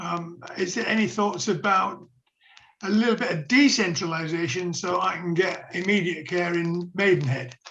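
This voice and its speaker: A high-pitched man with a Yorkshire accent speaks with ordinary pitch variation amid audible room echo. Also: moderate pace. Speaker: meeting member asking a question. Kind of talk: question in a video meeting. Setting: video call.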